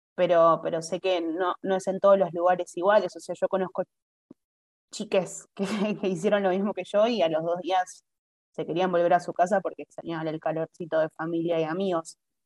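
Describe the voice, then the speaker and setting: Recorded dry and close with no echo against a quiet background, a woman speaks at a moderate pace in a fairly low pitch with monotone, flat intonation. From Argentina. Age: 20s. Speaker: traveler living abroad. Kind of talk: casual interview chat.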